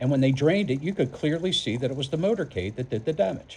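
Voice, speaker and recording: His pitch swings very widely as the man speaks fairly quickly. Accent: American. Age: 60s. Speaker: political vlogger. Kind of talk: political commentary monologue. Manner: halting, repeats words.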